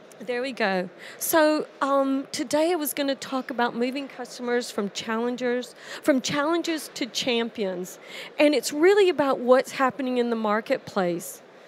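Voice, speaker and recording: A woman with an American accent talks in a high pitch at a moderate pace. Her intonation is lively. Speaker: industry presenter. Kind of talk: conference presentation. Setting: conference stage with audience in headsets.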